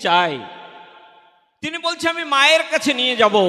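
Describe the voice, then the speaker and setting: A man raises and projects his voice. His intonation is lively. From India, Odisha (Malkangiri), Bengali-speaking. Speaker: religious speaker, government employee. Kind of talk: devotional discourse at religious gathering.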